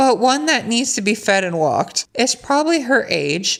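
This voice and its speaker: The speaker sounds animated, with vocal fry and very wide pitch swings. Delivery is fairly slow. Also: woman. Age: 20s. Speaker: content creator reading and reacting to online posts. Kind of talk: casual reaction commentary.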